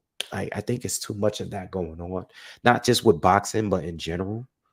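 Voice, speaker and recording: A soft-spoken man talks at a moderate pace with ordinary pitch variation on a very clean recording with a silent background. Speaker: boxing commentary youtuber. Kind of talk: casual solo commentary. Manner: soft-spoken, talking low.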